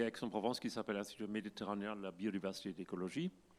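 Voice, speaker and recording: A man talks at a very fast pace with a fairly low pitch and fairly even intonation. The recording is very clean, with a silent background. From Germany. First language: German (speaking French). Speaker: climate scientist. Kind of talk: conference talk. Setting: stage with audience. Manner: halting.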